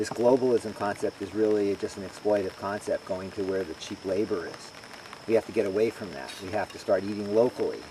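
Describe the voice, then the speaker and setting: Over noticeable background noise, a man with a fairly low pitch speaks at a fairly quick pace, his intonation fairly even but his loudness swinging widely. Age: 60s. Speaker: farmer. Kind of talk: interview. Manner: halting.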